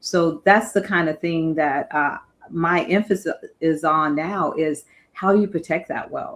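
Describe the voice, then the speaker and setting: A woman with an ordinary speaking voice, fairly low in pitch and fairly even in intonation. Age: 60s. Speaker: guest on finance podcast. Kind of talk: casual chat.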